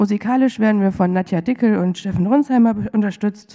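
The speech moves at a moderate pace in a dark, mellow tone. The background is quiet. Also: woman. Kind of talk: church service welcome and announcements. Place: church. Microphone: podium.

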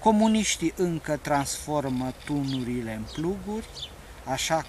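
A man speaks at a very slow pace. The sound is dry with no echo, and there is light background noise. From Romania. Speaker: poet. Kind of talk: poetry reading, satirical prose-poem read aloud. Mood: calm, wry. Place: open country.

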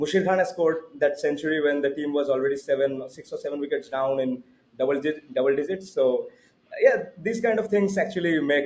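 With a Bengali accent, a man speaks fairly quickly in a fairly high pitch. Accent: Indian English, Bengali. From India, Bengal. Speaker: cricket podcast co-host. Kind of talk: casual chat. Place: home room. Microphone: video call.

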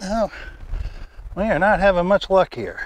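A man with a high pitch speaks at a fairly slow pace using lively intonation.

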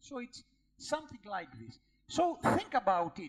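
A man with a Greek accent, at a moderate pace. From Greece. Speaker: professor and endocrinologist giving a lecture. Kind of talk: lecture. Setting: conference lecture hall with audience questions. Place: hall.

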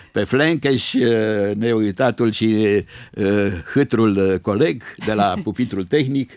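A man with a fairly low voice speaks very slowly, with ordinary pitch variation and very even loudness, in a dry sound with no echo and a quiet background. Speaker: retired radio presenter and lyricist. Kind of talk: radio interview. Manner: tender, warm. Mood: warm, nostalgic, joking. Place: studio. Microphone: studio mic.

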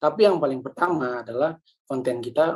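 The voice shows ordinary pitch variation at a fairly quick pace. The background is quiet. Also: man. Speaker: communication trainer, church media producer; trainer. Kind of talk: lecture. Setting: video call. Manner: fast. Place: home room. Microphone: webcam.

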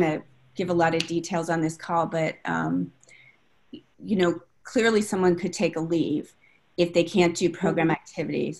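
A woman talks at a moderate pace with ordinary pitch variation. Her pitch is fairly low. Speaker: training director. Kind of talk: discussion question. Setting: video call. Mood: thoughtful, concerned. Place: home room. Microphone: video call.

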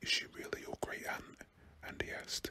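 A man whispers at a moderate pace in a British accent. Noticeable background noise runs underneath. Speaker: ASMR reader. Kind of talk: bedtime story reading aloud, ASMR narration.

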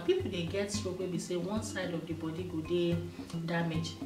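A woman speaks at a moderate pace. Noticeable background noise runs behind her. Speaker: health explainer. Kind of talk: health advice talk to camera. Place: studio.

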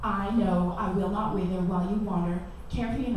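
Heard with strong room echo and light background noise, a woman speaks at a medium pitch and a fairly quick pace. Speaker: spoken word poet. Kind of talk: poetry performance, spoken word with casual banter between pieces. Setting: live in a cafe, performing for an audience. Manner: expressive, rhythmic, sensual and intense delivery; casual, chatty, laughing between poems. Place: cafe. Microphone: camera far.

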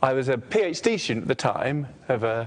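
At a fairly slow pace, a man talks. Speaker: lecturer. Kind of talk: lecture. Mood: relaxed, joking. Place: classroom. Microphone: lapel.

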